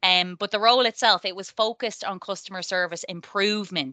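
A woman's bright, sharp voice at a medium pitch, with a Dublin accent and fairly even intonation, dry and close with no echo, over a quiet background. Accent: Irish (Dublin area). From Ireland, near Dublin. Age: 30s. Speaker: tech project manager. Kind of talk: interview.

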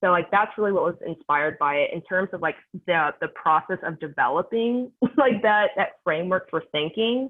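A woman speaks in an ordinary speaking voice at a medium pitch. Her intonation is lively and her pace moderate. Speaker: sales development manager. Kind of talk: interview.

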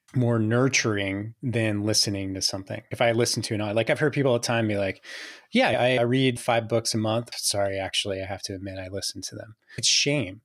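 Heard in a very clean recording with a silent background, a man with a plain, everyday voice talks at medium pitch and a fairly quick pace with fairly even intonation. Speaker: podcast host. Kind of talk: interview chat.

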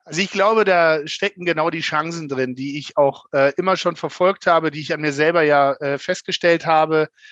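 A man with an ordinary speaking voice, fairly high pitch, fairly even intonation, and a moderate pace, in a dry, close sound with no echo. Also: hardly any pauses. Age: 40s. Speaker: bank manager. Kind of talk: interview.

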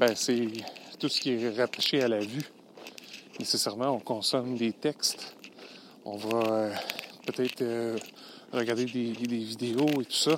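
Very slowly, with long, frequent pauses, a man speaks at a medium pitch. His intonation is monotone and flat, and there is noticeable background noise. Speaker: podcast host, LinkedIn consultant. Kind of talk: solo podcast monologue. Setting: outdoors, walking in snow. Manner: hesitant, many fillers.

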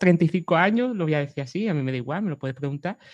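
A woman talks with a Cádiz accent at a fairly low pitch. The background is quiet. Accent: Cádiz accent, kept. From Cádiz, Andalusia, Spain. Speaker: web designer. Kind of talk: interview conversation.

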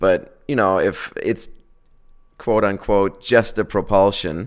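A man speaks in a German accent at a fairly slow pace. The recording is very clean with a silent background. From Germany. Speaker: auto company executive. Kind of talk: interview. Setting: company office. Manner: halting, many fillers.

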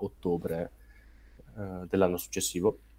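With a slight Brescian accent, a man speaks in a very deep, low voice with a dark, mellow tone. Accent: Brescia accent, slight. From northern Italy, Brescia. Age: 20s. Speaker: snowboarder and climate activist. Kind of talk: casual interview. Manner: halting.

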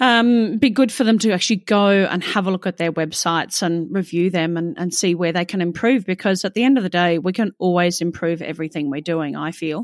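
A woman with an Australian accent is heard on a very clean recording against a silent background. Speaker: podcast host. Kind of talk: interview.

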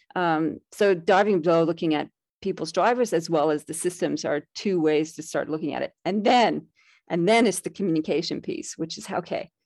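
Recorded dry and close with no echo over a quiet background, a woman has an ordinary speaking voice. She talks at a moderate pace and fairly low pitch with ordinary pitch variation. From Canada. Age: 50s. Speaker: leadership mentor and author. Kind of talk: interview.

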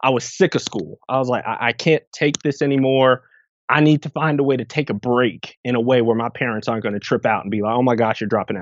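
There is a man speaking at a medium pitch with ordinary pitch variation. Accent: New Jersey. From New Jersey (Irvington, near Newark). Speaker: grant writer and impact investor. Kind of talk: interview.

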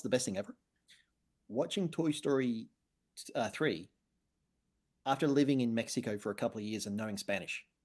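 Over a silent background in a very clean recording, a man with an Australian accent speaks at a moderate pace with lively intonation. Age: 30s. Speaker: podcast co-host, author. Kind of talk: casual chat.

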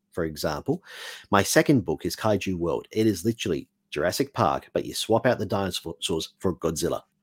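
At a fairly quick pace, a man with an Australian accent speaks at a fairly low pitch with lively intonation, the sound dry and close with no echo. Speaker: author. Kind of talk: casual interview chat. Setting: video call.

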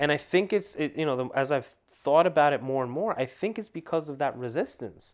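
A man talks in a plain, everyday voice at a fairly high pitch. His pace is fairly quick, with lively intonation and hardly any pauses. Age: 30s. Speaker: podcast host; lawyer. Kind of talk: solo monologue podcast. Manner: casual, many fillers and restarts.

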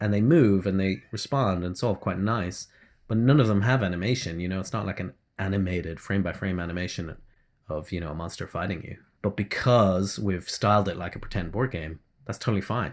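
A fairly low-pitched man with an Irish accent, fairly quick and with ordinary pitch variation, on a very clean recording with a silent background. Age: 40s. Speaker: indie game developer. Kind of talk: interview.

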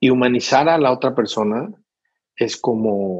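A man talks at a medium pitch in an ordinary speaking voice. His pitch varies in an ordinary way. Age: 50s. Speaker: humanitarian aid trainer. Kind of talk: interview.

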